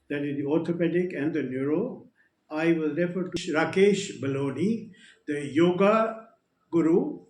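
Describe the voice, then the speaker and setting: Audible room echo surrounds a man speaking at a moderate pace. His pitch is high, with ordinary variation. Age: 70s. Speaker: retired air force officer. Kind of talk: testimony. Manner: halting.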